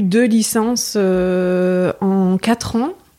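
Her voice has a dark, mellow tone, and the woman keeps her intonation fairly even. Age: 30s. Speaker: masseuse and sophrologist. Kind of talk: casual interview conversation. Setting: at home, living room.

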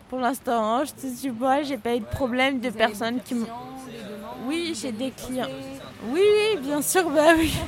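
A woman's high-pitched voice at a fairly slow pace, with ordinary pitch variation, long and frequent pauses, and noticeable background noise. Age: 20s. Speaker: lawyer. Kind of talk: interview. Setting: café. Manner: halting.

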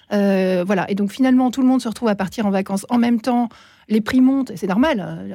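The recording is very clean with a silent background. A woman with a dark, mellow tone and a fairly high pitch talks at a fairly quick pace with ordinary pitch variation. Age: 40s. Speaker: primary school teacher and columnist. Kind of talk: radio discussion.

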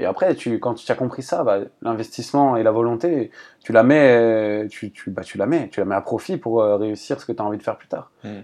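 Moving at a fairly quick pace, a man talks in a dark, mellow tone. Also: quiet background. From Paris region, France. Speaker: volleyball coach. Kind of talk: casual chat. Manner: halting.

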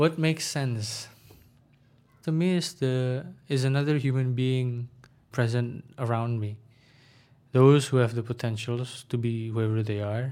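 With an Indonesian accent, a man speaks with long, frequent pauses on a very clean recording with a silent background. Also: medium pitch for a man, ordinary pitch variation, fairly slow pace. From Indonesia, Jakarta. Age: 20s. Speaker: student and former volunteer English trainer. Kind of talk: casual interview.

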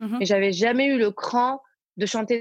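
Recorded dry and close with no echo, a woman talks at a very fast pace with fairly even intonation. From Belgium. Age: 20s. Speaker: singer and social media influencer. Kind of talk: casual interview. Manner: halting, many fillers and repetitions.

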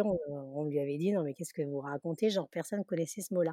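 A woman with a dark, mellow tone talks at a very fast pace, captured in a dry, close sound with no echo on a very clean recording with a silent background. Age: 60s. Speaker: Instagram content creator. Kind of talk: interview.

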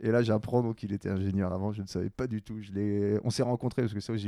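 A man speaks in a dark, mellow tone of fairly low pitch with fairly even intonation, the sound dry and close with no echo over a quiet background. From Quebec (Montreal). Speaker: podcast host. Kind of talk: casual chat.

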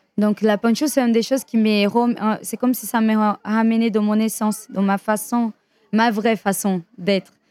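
A woman's fairly high voice, monotone and flat, at a fairly slow pace, with a dry, close sound and no echo. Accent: Brazilian. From Brazil. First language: Portuguese (speaking French). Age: 30s. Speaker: dancer and dance teacher. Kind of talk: interview.

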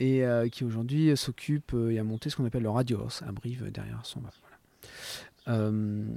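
A man speaks at a moderate pace with hardly any pauses, in a medium pitch and fairly even intonation. His tone is dark and mellow. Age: 50s. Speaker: motion designer and image artisan. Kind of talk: interview.

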